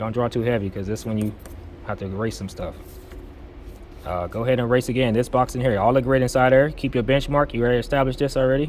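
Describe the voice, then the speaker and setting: A man talks at a very fast pace with fairly even intonation, yet leaves long, frequent pauses. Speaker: drafting instructor. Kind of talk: tutorial. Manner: casual, conversational.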